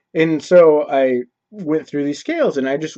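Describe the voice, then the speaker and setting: A man's fairly high-pitched voice with a dark, mellow tone, fairly even intonation, and a dry, close sound with no echo. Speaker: video blogger. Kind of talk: casual vlog monologue. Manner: casual, halting with fillers.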